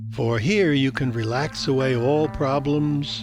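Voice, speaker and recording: With music playing in the background, a man speaks at a medium pitch with ordinary pitch variation. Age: 80s+. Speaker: meditation guide. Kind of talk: guided meditation. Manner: slow, soothing.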